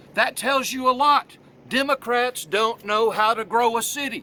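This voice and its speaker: In a Southern US accent, a man speaks with a raised, projected voice at an extremely high pitch. His pace is moderate. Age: 60s. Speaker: political candidate. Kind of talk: campaign video monologue. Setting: outdoors on the road.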